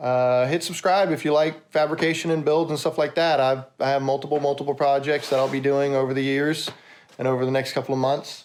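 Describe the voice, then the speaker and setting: At a fairly quick pace, a man talks in a fairly high, flat monotone with very even loudness. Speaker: car fabricator and YouTuber. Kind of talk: casual vlog outro. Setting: in his workshop. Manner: fast.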